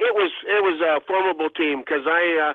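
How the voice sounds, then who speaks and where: A man speaks at a high pitch. His pace is moderate and his intonation fairly even. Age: 70s. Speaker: retired hockey goaltender. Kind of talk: interview. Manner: halting, many fillers.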